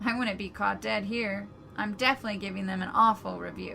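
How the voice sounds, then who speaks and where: Using a put-on character voice, a woman talks at a fairly quick pace over clear background noise. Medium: read story.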